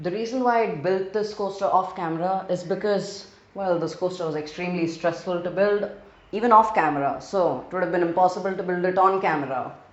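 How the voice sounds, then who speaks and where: The speaker has an Indian accent. Noticeable background noise can be heard. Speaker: gaming video creator. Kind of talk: gameplay narration.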